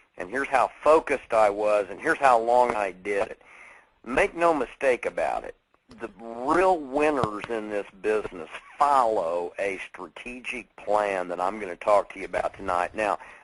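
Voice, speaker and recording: A man with lively intonation and big swings in loudness. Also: medium pitch for a man, moderate pace. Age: 50s. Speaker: network marketing speaker. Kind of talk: motivational talk. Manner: animated.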